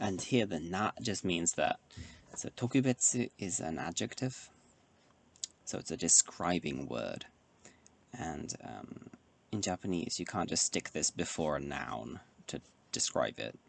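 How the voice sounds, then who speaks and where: Soft-spoken and full of vocal fry, a man with a British accent speaks at a very deep, low pitch with very wide pitch swings, a fairly slow pace and long, frequent pauses, the sound dry and close with no echo. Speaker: Japanese language learner. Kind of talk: ASMR study session talk to camera. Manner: soft-spoken, quiet.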